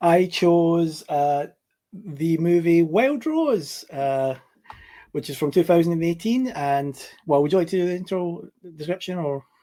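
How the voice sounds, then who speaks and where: A man with a Scottish accent speaks in a dark, mellow tone at a high pitch. His pace is fairly slow, with ordinary pitch variation. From Scotland, Glasgow. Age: 40s. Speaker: podcast guest, cinema worker. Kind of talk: casual chat. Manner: halting, many fillers.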